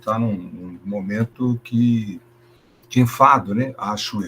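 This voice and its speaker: A man talks in an ordinary speaking voice at medium pitch. His pace is fairly slow. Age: 60s. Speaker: schoolteacher. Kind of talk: presentation in online teacher training meeting.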